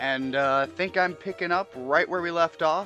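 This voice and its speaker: Music plays behind a man speaking at a moderate pace with ordinary pitch variation. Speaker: gameplay commentator. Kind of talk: casual let's play commentary.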